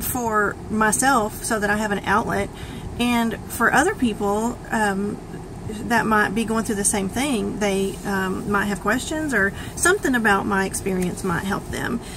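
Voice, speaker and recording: A woman with a fairly high pitch speaks at a fairly slow pace with ordinary pitch variation, over noticeable background noise and audible room echo. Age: 40s. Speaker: vlogger sharing health journey. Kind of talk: personal testimony vlog. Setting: self-recorded video. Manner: hesitant, many fillers.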